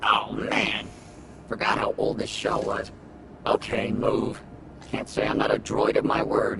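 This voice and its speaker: Putting on a character voice, a man speaks at an extremely high pitch and a fairly slow pace. Clear background noise is audible. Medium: machinima. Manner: sarcastic.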